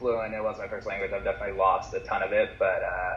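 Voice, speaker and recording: The speaker has an American accent and talks at a fairly quick pace. Noticeable background noise runs under the voice. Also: man. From Southern California. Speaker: surfer. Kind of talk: casual chat.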